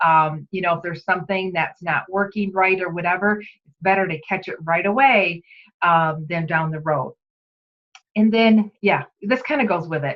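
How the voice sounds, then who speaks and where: A woman's normal speaking voice, a normal speaking voice, medium in pitch, at a moderate pace with ordinary pitch variation. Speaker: direct sales team leader. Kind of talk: training talk. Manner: casual, chatty.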